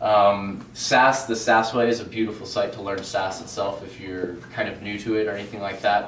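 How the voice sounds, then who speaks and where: At a fairly quick pace, a man with a fairly low pitch talks in a flat, monotone intonation amid noticeable background noise and audible room echo. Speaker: web developer presenter. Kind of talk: meetup tech presentation. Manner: fast; casual, filler-heavy.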